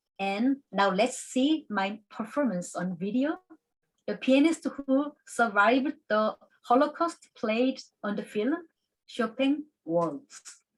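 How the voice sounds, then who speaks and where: Talking very slowly with lively intonation, a woman with a Korean accent has a high-pitched voice. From South Korea. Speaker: classical pianist and piano teacher. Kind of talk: conference presentation. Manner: halting.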